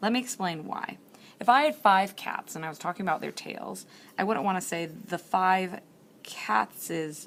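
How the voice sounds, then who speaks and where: A woman of medium pitch with vocal fry, lively intonation and a moderate pace. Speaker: teacher. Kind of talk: tutorial. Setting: library.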